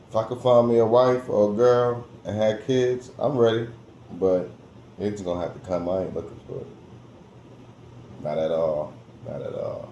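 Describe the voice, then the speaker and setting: A man speaks at a medium pitch and moderate pace, with ordinary pitch variation and long, frequent pauses. Audible room echo and noticeable background noise fill the recording. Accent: American. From New Jersey, US. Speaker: vlogger. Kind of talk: casual monologue vlog. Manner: animated, repetitive.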